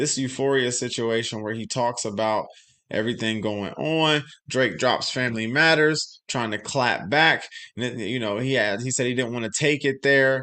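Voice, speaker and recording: Before a quiet background, a man speaks at a medium pitch with a bright, sharp tone and ordinary pitch variation. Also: moderate pace. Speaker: YouTube live streamer, hip hop commentator. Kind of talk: live stream commentary. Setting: live stream. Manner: loud; casual, halting.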